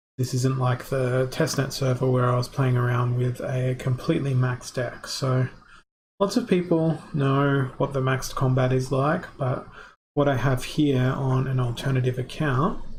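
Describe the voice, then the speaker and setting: With an Australian accent, a man speaks at a moderate pace and medium pitch, somewhat breathy, with very even loudness and fairly even intonation. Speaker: gamer streamer. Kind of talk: gameplay live stream commentary.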